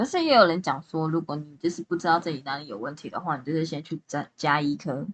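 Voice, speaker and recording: The voice moves at a very fast pace with hardly any pauses. Its pitch variation is ordinary. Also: woman, very deep, low pitch for a woman. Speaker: amateur podcast co-host. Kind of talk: casual chat.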